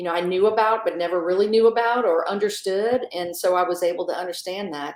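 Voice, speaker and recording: Using an ordinary speaking voice, a woman talks at a fairly quick pace with an American accent. Her pitch is medium and her intonation fairly even. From US South (south Louisiana, near New Orleans). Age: 40s. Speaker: magazine editor. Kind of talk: interview conversation.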